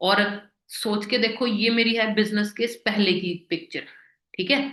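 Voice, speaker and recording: Bright, sharp tone with a Punjabi accent and fairly even intonation. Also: woman, fairly high pitch for a woman. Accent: Punjabi-accented Hindi. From Punjab, India. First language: Punjabi (speaking Hindi). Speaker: network marketing business leader. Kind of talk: motivational presentation.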